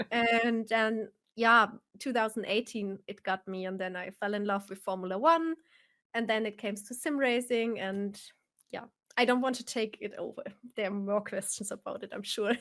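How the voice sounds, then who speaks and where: With a German accent, a woman speaks at a fairly high pitch and ordinary pitch variation. The recording is very clean and the background silent. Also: moderate pace. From Germany, Bavaria (Nuremberg). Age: 30s. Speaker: sim racer and streamer. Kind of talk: live stream interview.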